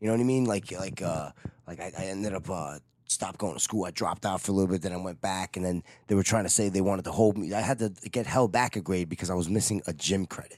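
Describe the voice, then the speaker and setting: Speaking very fast with a New York accent, a man's very deep, low voice shows ordinary pitch variation in a very clean recording with a silent background. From New York City (Manhattan and Queens). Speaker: touring guitar technician for a metal band. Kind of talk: casual chat.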